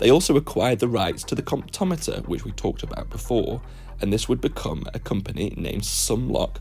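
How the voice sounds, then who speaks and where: A man with a British accent at a fairly quick pace, music in the background. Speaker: watch history YouTuber. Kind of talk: scripted narration.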